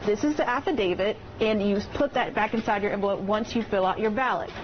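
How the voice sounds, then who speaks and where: A woman talks at a very fast pace in a fairly high voice with ordinary pitch variation. Her loudness stays very even, though noticeable background noise is present. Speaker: TV news reporter. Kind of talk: TV news report.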